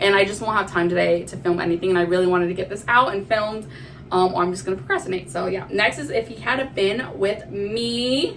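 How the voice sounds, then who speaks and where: A woman's very fast, animated speech at medium pitch with ordinary pitch variation, plus audible room echo and noticeable background noise. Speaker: book vlogger. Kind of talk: casual chat. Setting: recording in a bathroom.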